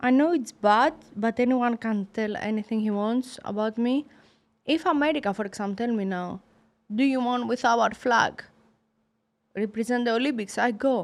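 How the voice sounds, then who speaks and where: In a Greek accent, a woman talks at a moderate pace with a fairly high pitch and ordinary pitch variation, on a very clean recording with a silent background. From Greece. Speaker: professional boxer. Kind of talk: interview. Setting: studio. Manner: halting, broken English.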